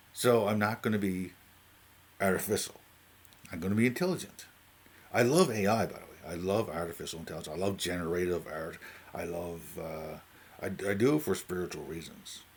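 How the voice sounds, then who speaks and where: A man with a Newfoundland accent speaks at a fairly quick pace in a very deep, low voice, with ordinary pitch variation. His loudness swings widely, and he leaves long, frequent pauses. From Newfoundland, Canada. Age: 40s. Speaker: YouTuber talking about AI. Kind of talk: casual unscripted monologue. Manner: halting, many fillers and restarts.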